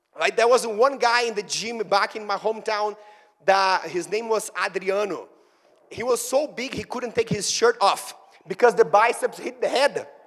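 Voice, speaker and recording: A man with a Brazilian Portuguese accent speaks in a high pitch at a moderate pace. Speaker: fitness trainer and speaker. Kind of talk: motivational talk. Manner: animated.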